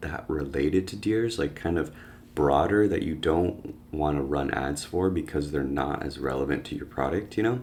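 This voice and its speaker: A man talks at a moderate pace in a very deep, low pitch with ordinary pitch variation. Room echo is audible. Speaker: online business educator. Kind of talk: screen-share tutorial. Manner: casual, filler-heavy.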